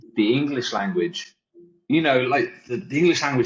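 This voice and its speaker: With lively intonation, a man speaks in a somewhat breathy voice at a fairly high pitch. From Wales, raised around England. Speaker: web developer, agency founder. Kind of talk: casual chat.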